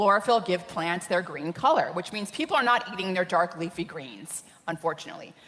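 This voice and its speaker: Noticeable background noise behind a woman's medium-pitched voice, moving at a moderate pace. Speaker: scientist speaking on nutrition. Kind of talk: conference talk.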